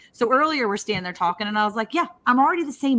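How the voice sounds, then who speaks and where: A woman's pitch swings very widely. Noticeable background noise is present. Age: 40s. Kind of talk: casual chat.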